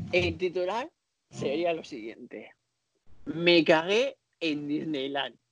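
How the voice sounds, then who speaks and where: A man's fairly high voice at a very slow pace, with lively intonation and long, frequent pauses. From Spain (Barcelona, Catalonia). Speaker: podcast co-host, dancer. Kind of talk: casual chat.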